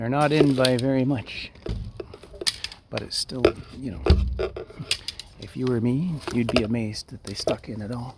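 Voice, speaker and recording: Quiet, with big swings in loudness, a man speaks at a moderate pace in a medium pitch with ordinary pitch variation and long, frequent pauses, over noticeable background noise. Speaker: hobbyist bow maker. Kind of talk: casual vlog. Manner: halting.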